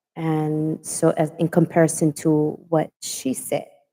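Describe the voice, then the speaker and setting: With a dark, mellow tone and a fairly low voice, a woman speaks at a very slow pace. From Hawaii. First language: Hawaiian Pidgin. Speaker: online talk show host. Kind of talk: casual chat. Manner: straightforward.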